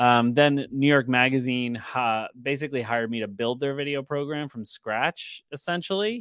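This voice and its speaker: A man with a plain, everyday voice speaks at a moderate pace with hardly any pauses, in a medium pitch with ordinary pitch variation. The recording is very clean, with a silent background. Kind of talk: casual interview. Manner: filler-heavy, casual.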